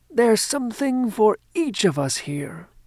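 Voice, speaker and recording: A woman puts on a character voice at a fairly high pitch with very wide pitch swings. She keeps a moderate pace. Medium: read story. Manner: warm, gentle.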